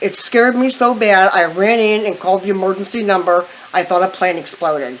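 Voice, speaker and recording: Noticeable background noise sits behind a woman with an American accent. She speaks fairly quickly at medium pitch with ordinary pitch variation. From western Pennsylvania. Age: 60s. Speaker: eyewitness interviewee. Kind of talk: interview.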